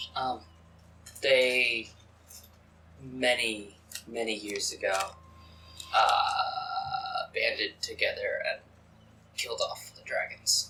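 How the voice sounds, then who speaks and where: A man's put-on character voice, raspy, very slow, with long, frequent pauses. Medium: actual play.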